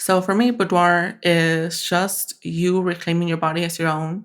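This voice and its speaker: A woman speaks fairly slowly with a slight Spanish accent and fairly even intonation. The recording is very clean, with a silent background. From Mexican-born, raised in the US. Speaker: photographer. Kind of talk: podcast interview.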